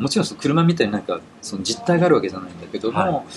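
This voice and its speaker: Noticeable background noise runs under this recording. A man speaks at a fairly high pitch with very wide pitch swings. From Tokyo, Japan. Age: 50s. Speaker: technology writer. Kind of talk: interview. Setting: outdoors.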